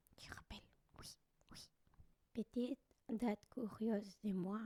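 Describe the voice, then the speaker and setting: Whispering, a woman keeps her voice soft-spoken. Her tone is gentle. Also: dry, close sound with no echo. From Colombia. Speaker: Colombian living in France, vlogger / ASMR creator. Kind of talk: ASMR soft spoken storytelling, personal scary story. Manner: soft-spoken, gentle, whispery.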